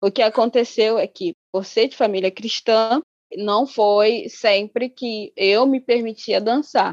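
At a fairly slow pace, a woman with a Rio de Janeiro accent speaks at a fairly high pitch. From Angola. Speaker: menstrual educator, body researcher. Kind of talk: casual interview chat.

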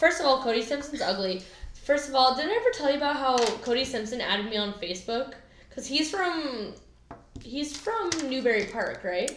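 A woman's high-pitched voice with lively intonation at a moderate pace, music in the background. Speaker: podcast co-host. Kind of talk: casual chat. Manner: animated.

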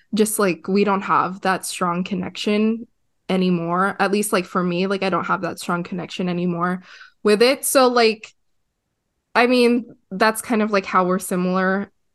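A woman with an ordinary speaking voice, medium in pitch and fairly even in intonation, at a moderate pace against a quiet background. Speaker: podcast co-host. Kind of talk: casual chat.

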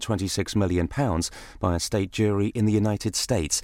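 A very fast-talking man with a British accent, his fairly low voice dark and mellow in tone. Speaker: radio newsreader. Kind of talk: news reading: brisk, crisp, authoritative bulletin delivery. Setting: studio. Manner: formal; fast, even-paced, businesslike.

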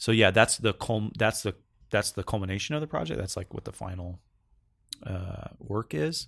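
In a very clean recording with a silent background, a man with an American accent talks at a moderate pace and a fairly low pitch, showing vocal fry and lively intonation. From Northern California. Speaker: composer. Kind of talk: interview. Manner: halting.

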